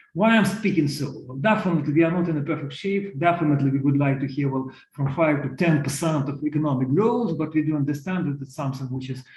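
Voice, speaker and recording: A man at a very fast pace with ordinary pitch variation, noticeable background noise behind him. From Ukraine. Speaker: economist panelist. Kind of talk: online panel presentation. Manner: halting, many fillers.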